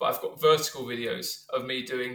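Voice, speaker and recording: With a London accent, a man speaks at a medium pitch. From North London, England. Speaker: science teacher and rapper. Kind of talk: casual interview.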